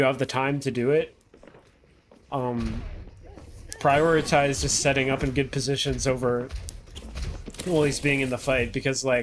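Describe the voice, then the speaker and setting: A man with a Canadian accent, fairly high in pitch, monotone and flat, at a moderate pace, over noticeable background noise. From Canada. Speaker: video game coach and streamer. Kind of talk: coaching VOD review, casual. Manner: casual, filler-heavy with stumbles.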